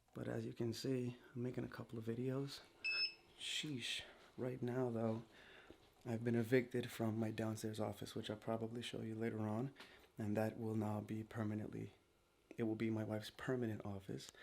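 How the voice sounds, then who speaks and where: Medium-pitched male speech at a moderate pace, monotone and flat, with long, frequent pauses and noticeable background noise. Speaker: vlogger. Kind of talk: casual vlog. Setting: at home, spare guest room.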